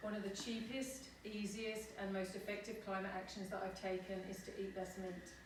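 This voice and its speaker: The speaker has a British accent, with noticeable background noise and audible room echo. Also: woman. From United Kingdom. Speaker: climate activist. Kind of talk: presentation talk.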